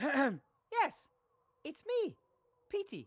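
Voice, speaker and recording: This is a squeaky, put-on character voice. The pitch sits high and swings very widely. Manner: funny put-on voice.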